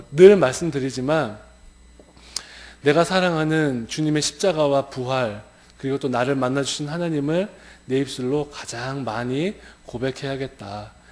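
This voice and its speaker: A man at a fairly slow pace with long, frequent pauses. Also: ordinary pitch variation. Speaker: pastor. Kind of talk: sermon. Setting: church. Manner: shaky, stumbling over words.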